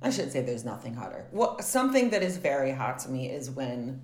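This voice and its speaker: Speaking with an American accent, a woman uses a very deep, low voice amid audible room echo. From US South. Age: 30s. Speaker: actor and filmmaker. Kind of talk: casual chat. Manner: animated.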